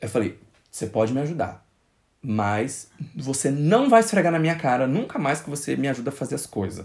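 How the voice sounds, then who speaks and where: This man's voice sits at medium pitch and is somewhat breathy. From Brazil, Goiás interior (born in Brasília). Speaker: podcast host. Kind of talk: casual chat.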